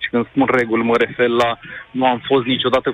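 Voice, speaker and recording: Amid noticeable background noise, a man with a medium pitch speaks in a monotone, flat way. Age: 20s. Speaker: caller. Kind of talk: phone-in opinion. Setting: phone call. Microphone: line briefly cut out.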